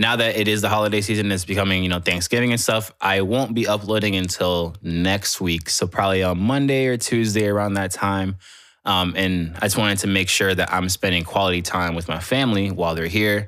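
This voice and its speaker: A man with an unremarkable speaking voice talks at a fairly quick pace with hardly any pauses, his fairly low pitch and fairly even intonation held at very even loudness on a very clean recording with a silent background. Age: 20s. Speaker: music artist and podcaster. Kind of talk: casual monologue. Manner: casual, filler-heavy.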